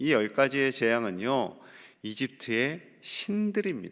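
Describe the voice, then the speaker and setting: The recording is very clean, its background silent. A man talks very slowly. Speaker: pastor. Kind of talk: sermon.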